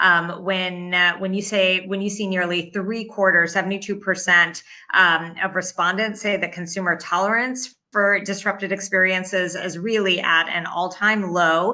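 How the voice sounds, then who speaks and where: Bright and sharp in tone, a woman speaks at a medium pitch and moderate pace with flat, monotone intonation. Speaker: industry analyst. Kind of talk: webinar presentation. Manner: hesitant, many fillers.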